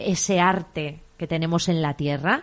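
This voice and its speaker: A woman speaks over noticeable background noise. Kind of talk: casual chat. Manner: loud.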